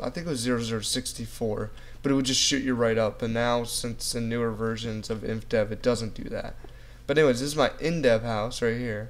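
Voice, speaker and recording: Audible room echo surrounds a man speaking at a fairly quick pace, medium in pitch with fairly even intonation. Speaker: gaming youtuber. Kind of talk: gameplay commentary. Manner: fast; casual.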